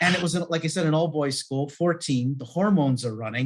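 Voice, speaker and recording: A man with a Canadian accent talks at a moderate pace. He has a plain, everyday voice with ordinary pitch variation. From Canada. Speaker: life and business coach. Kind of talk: podcast interview.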